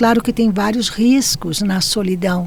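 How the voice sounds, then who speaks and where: Noticeable background noise sits under a woman's voice. She talks at a fairly slow pace and medium pitch, with ordinary pitch variation. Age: 70s. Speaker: podcast guest. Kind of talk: conversational interview.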